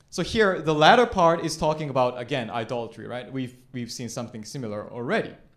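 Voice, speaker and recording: Speaking very fast with hardly any pauses, a man at a medium pitch shows ordinary pitch variation and big swings in loudness, with audible room echo around him. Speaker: pastor. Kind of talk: sermon.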